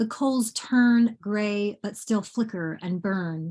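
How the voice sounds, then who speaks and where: Somewhat breathy and at a medium pitch, a woman speaks at a very slow pace. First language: Bangla. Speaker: poet. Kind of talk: poetry reading. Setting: video call. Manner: halting.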